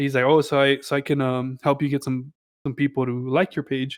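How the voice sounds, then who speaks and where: A plain, everyday voice with an American accent moves at a fairly quick pace. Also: man. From Texas, El Paso. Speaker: music producer. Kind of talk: casual interview chat. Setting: podcast interview.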